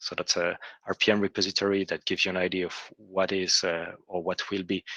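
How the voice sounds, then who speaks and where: A man with a non-native accent has a very deep, low pitch and a bright, sharp tone, recorded with a dry, close sound and no echo. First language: not English. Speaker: software engineer presenting to a working group. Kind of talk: technical presentation in an online meeting. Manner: hesitant, many fillers and restarts.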